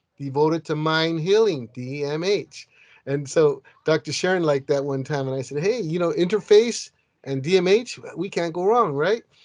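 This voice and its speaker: Against a quiet background, a man with a fairly high voice talks at a moderate pace with ordinary pitch variation. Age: 60s. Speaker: peer advocate, parent. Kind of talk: podcast panel chat. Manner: halting, repetitive.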